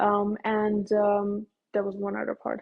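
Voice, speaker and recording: The speaker talks at a fairly slow pace with a Persian accent. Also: woman. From Iran. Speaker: dental student. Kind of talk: casual interview chat.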